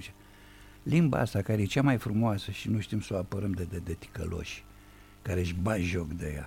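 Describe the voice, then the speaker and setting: A man's fairly low, dark, mellow voice, somewhat breathy, with lively intonation and a fairly quick pace. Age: 70s. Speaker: writer and playwright. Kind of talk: radio interview. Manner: formal.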